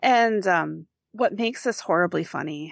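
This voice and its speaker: Speaking with a Wisconsin accent, a woman at medium pitch uses lively intonation, with a dry, close sound with no echo and a quiet background. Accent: Upper Midwest (Wisconsin). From Wisconsin, Rice Lake area. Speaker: podcast co-host. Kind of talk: casual chat.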